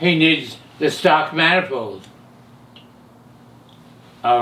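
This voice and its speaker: Here a man talks at a fairly high pitch, with ordinary pitch variation. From California. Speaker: hot rod pioneer and camshaft maker. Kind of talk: interview answer.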